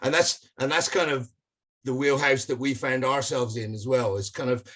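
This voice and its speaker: A man speaks at medium pitch with a British accent. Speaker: rock band musician. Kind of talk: interview.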